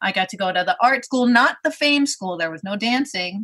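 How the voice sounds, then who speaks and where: A woman in a Brooklyn accent, very fast, with lively intonation. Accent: New York (Brooklyn). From Brooklyn, New York. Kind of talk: casual interview chat.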